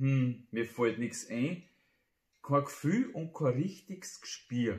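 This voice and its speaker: Against a quiet background, a man with a medium pitch speaks very slowly and somewhat breathily, with ordinary pitch variation. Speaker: amateur poet. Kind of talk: humorous dialect poetry reading. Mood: humorous, playful. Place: home room.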